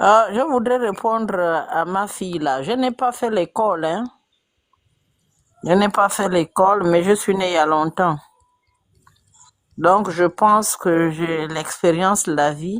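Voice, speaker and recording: A woman's medium-pitched voice with ordinary pitch variation, a very slow pace and long, frequent pauses. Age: old. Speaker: caller in political live debate. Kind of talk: casual debate.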